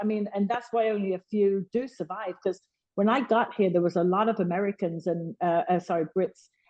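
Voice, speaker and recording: A woman with a Birmingham accent speaks at a moderate pace with fairly even intonation. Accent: Birmingham (Brummie). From Birmingham, England. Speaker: boxing publicist. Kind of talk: podcast interview answer. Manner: candid, emotional.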